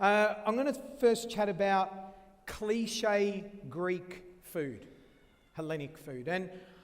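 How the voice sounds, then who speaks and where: A man's voice with lively intonation and audible room echo. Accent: Australian. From Australia. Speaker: chef. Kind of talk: cooking demonstration talk.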